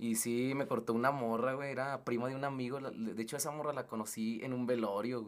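Speaking at a fairly quick pace with hardly any pauses, a man uses a medium pitch and monotone, flat intonation. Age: 30s. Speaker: music label owner. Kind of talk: casual chat.

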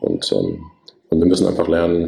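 A man's voice at a fairly quick pace amid noticeable background noise. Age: 50s. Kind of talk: casual interview.

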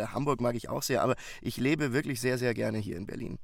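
Speaking at a fairly quick pace, a man uses a medium pitch. Vocal fry is audible in his voice. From Bavaria, Munich. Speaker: audiobook narrator. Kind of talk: casual chat. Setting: remote call.

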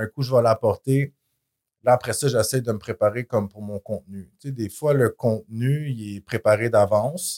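A man with a Quebec accent speaks at a moderate pace and a medium pitch, his tone dark and mellow, his intonation fairly even, his loudness swinging widely. The recording is very clean, with a silent background and a dry, close sound that has no echo. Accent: Québécois French. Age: 40s. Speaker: fitness influencer. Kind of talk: casual interview.

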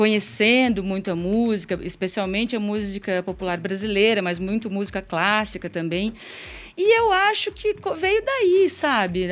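Pitched fairly high, a woman speaks at a moderate pace in an unremarkable speaking voice with ordinary pitch variation. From Curitiba, Brazil. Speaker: singer and songwriter. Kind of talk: live radio interview. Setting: radio studio.

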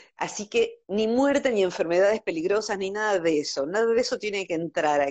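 Here a woman speaks in a normal speaking voice at a medium pitch. Her intonation is lively and her pace fairly quick. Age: 50s. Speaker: psychologist. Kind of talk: casual interview.

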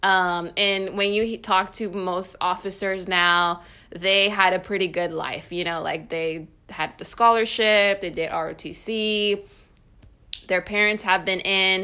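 The tone is bright and sharp, delivered with monotone, flat intonation. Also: woman, medium pitch for a woman. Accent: American. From California. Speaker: podcast host and army officer. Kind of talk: casual interview chat. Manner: casual, uses filler words.

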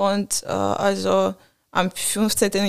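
The speaker is a woman with a medium pitch. She talks with a non-native accent. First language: not German (speaking German). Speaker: student at a preparatory college. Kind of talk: casual interview chat. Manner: halting, many fillers.

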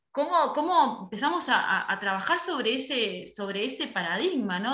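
The woman speaks in a high voice. Her words carry an audible room echo. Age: young. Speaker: theatre school director. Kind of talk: casual chat. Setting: video call.

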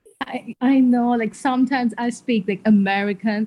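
Her tone is dark and mellow, and somewhat breathy. The woman keeps a moderate pace with ordinary pitch variation. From Sri Lanka. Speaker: medical student. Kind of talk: casual chat.

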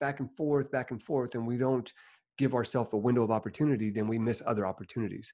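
With ordinary pitch variation and a medium pitch, the man has an unremarkable speaking voice. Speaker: motivational speaker. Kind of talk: interview conversation.

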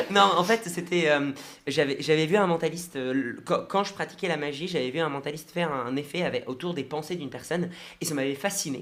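An ordinary speaking voice at a fairly quick pace with ordinary pitch variation. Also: man, fairly high pitch for a man. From Brest, Brittany, France. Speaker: mentalist and hypnotist. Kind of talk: radio interview.

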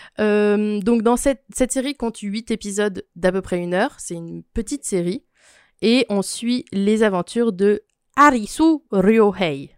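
At a fairly slow pace, the speaker uses an ordinary speaking voice with ordinary pitch variation, on a very clean recording with a silent background and a dry, close sound with no echo. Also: woman, fairly high pitch for a woman. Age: 20s. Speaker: podcast guest, cultural recommendations. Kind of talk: casual chat.

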